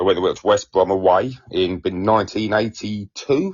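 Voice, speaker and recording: In an Essex accent, a man speaks at a fairly low pitch. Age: 40s. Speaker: stand-up comedian. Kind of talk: casual chat.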